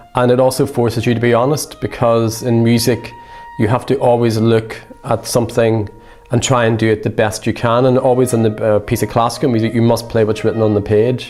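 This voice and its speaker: The speaker has an Irish accent and a monotone, flat intonation at a fairly quick pace. Music plays in the background. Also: man, medium pitch for a man, very even loudness. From Ireland. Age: 50s. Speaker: saxophone professor. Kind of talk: interview.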